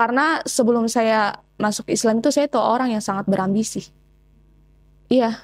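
At a moderate pace, a woman speaks with very even loudness, long and frequent pauses, ordinary pitch variation and a fairly high pitch against a quiet background. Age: 20s. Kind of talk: testimony interview. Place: home room. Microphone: lapel.

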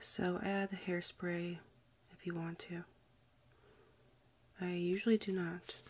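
Very slow, soft-spoken delivery broken by long, frequent pauses. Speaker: ASMR creator. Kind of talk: ASMR soft-spoken review.

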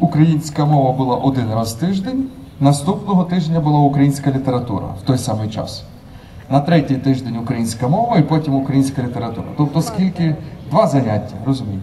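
A man talks at a fairly quick pace with light background noise. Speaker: conference speaker. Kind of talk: public talk. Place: street. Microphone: handheld.

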